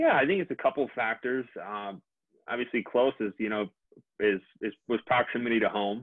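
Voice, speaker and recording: Speaking with an American accent, this is a normal speaking voice. The pace is fairly quick, with ordinary pitch variation. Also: man, medium pitch for a man. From Minnesota. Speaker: dentist. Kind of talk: interview.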